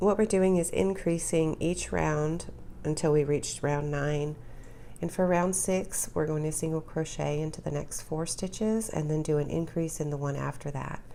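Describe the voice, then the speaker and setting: A woman's very deep, low voice with a dark, mellow tone, ordinary pitch variation and a moderate pace. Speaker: crochet instructor. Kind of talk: tutorial.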